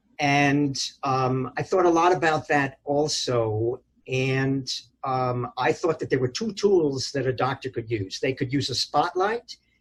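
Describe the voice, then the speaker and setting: Somewhat breathy and fairly slow, this voice has an American accent and ordinary pitch variation. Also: man, fairly high pitch for a man. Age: 70s. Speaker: retired physician. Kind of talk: oral history interview. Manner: hesitant, many fillers.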